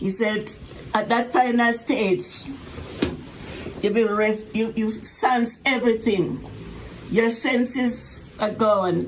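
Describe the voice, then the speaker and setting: A woman with a fairly high pitch speaks at a very slow pace, with long, frequent pauses and noticeable background noise. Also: fairly even intonation. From Jamaica. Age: 90s. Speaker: retired elder. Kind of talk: personal storytelling.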